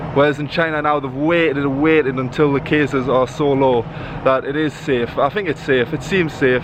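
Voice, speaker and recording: A man with a fairly high pitch and fairly even intonation talks over noticeable background noise. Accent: slight Geordie. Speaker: English teacher and vlogger. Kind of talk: vlog talking to camera. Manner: fast; casual.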